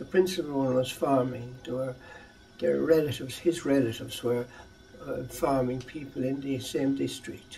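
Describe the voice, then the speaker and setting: A man with an Irish accent, medium pitch, moderate pace and fairly even intonation, over noticeable background noise. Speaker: educator. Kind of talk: interview answer.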